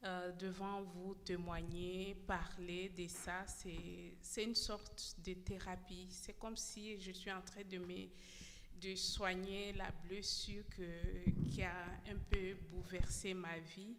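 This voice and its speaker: A woman speaks at medium pitch with monotone, flat intonation and a very slow pace. Audible room echo and noticeable background noise surround her. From DR Congo. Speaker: former detainee giving testimony. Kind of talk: testimony. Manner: halting, many repetitions.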